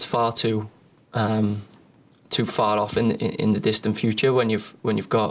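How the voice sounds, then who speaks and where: With a Liverpool accent, a man speaks in fairly even intonation. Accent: Liverpool (Scouse). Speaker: professional footballer. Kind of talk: press conference answers.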